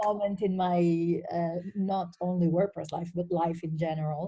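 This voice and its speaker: A woman with an Italian accent speaks at a moderate pace and fairly low pitch, her somewhat breathy voice dark and mellow in tone with fairly even intonation. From northern Italy. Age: 40s. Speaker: WordPress community contributor. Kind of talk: interview.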